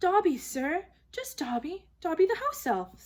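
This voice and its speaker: Putting on a squeaky character voice, a woman speaks at a moderate pace with an extremely high pitch and very wide pitch swings. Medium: read story. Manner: servile, calls self by name, says sir constantly.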